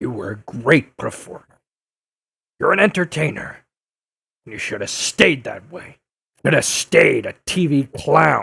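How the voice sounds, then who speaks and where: Using a put-on character voice, a raspy man with a fairly high pitch keeps a moderate pace broken by long, frequent pauses. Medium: audio drama. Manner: brusque, aggressive.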